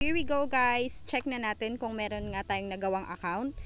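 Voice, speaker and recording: With lively intonation, a woman speaks at a fairly slow pace in an unremarkable speaking voice. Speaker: YouTuber. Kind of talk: tutorial. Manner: casual.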